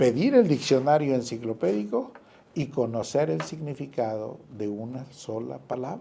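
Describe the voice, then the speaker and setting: In an unremarkable speaking voice at medium pitch, a man talks at a moderate pace with ordinary pitch variation. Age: 60s. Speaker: author and businessman. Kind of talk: radio interview.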